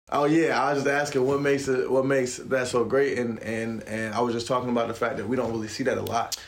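A man's very fast, energetic delivery at a medium pitch, hardly any pauses, with noticeable background noise and audible room echo. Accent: American. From Raleigh, North Carolina. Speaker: podcast host. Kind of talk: interview.

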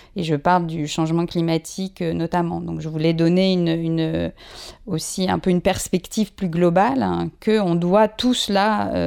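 A woman's fairly low, dark, mellow voice at a moderate pace, with ordinary pitch variation. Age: 50s. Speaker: journalist and author. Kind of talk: interview.

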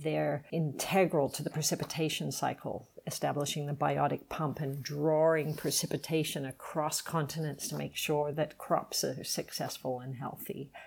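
A woman speaks in a very deep, low pitch with vocal fry and a monotone, flat intonation. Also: moderate pace. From Australia, Sydney. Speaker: nonprofit founder. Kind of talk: interview, casual chat.

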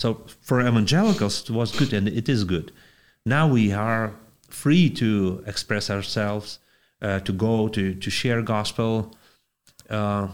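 With a Lithuanian accent, the speaker talks at a fairly slow pace with ordinary pitch variation on a very clean recording with a silent background. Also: man. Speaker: pastor. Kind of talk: interview. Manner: halting.

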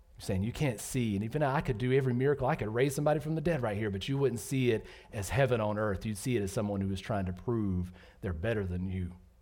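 The voice has a dark, mellow tone and ordinary pitch variation, moving at a very fast pace with audible room echo. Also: man, medium pitch for a man. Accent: American. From US South, Georgia. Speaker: pastor. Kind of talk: sermon. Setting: church.

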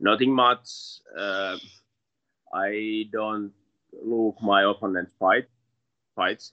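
A man speaks at a very slow pace in a bright, sharp tone and fairly low pitch, with long, frequent pauses, monotone, flat intonation, and a dry, close sound with no echo. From Finland. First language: Finnish. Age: 20s. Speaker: MMA fighter. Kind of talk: interview. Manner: halting.

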